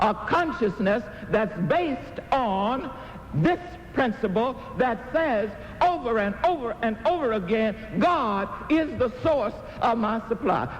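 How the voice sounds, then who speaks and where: Very slow speech from a man at extremely high pitch, with lively intonation, very even loudness and noticeable background noise. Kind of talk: inspirational sermon-style talk. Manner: emphatic, call-and-response preaching style.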